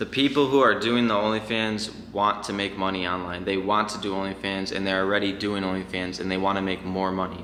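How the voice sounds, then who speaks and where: Against noticeable background noise and audible room echo, a man speaks at a fairly quick pace with a fairly low pitch and fairly even intonation. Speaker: online business owner, YouTuber. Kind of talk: casual vlog explainer. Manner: fast; casual, filler-heavy.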